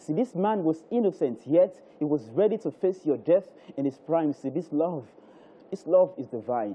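Lively intonation marks a man speaking at a moderate pace and fairly high pitch, with a Nigerian accent. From Nigeria (Lagos). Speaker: spoken word poet. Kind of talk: spoken word poem performance, rhythmic devotional verse on the cross and resurrection. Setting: live TV studio. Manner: rhythmic, cadenced delivery with repetition and refrains; fervent, preacher-like building emphasis. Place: studio. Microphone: handheld.

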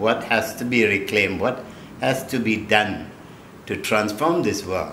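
Speaking fairly slowly, a man with a fairly low voice and ordinary pitch variation is heard with audible room echo and light background noise. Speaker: spiritual teacher. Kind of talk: interview answer. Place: home room.

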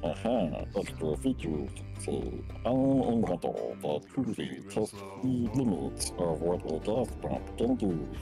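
Over loud background music, a man does a put-on character voice at a very slow pace in a very deep, low pitch. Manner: boastful, playful.

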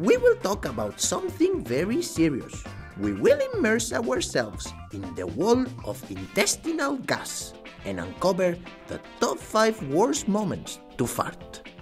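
A cartoonish character voice at a fairly slow pace over clear music in the background

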